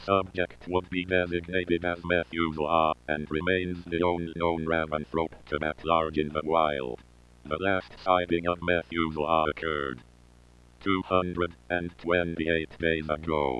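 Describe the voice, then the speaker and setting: A man puts on a character voice with very deep, low pitch. His intonation is monotone and flat at a moderate pace. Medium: audio drama. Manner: flat, formal.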